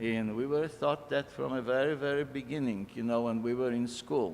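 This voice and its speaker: Pitched at a medium level, a man talks at a moderate pace with fairly even intonation. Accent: Polish. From Poland. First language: Polish. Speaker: immigrant speaker. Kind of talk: personal testimony talk.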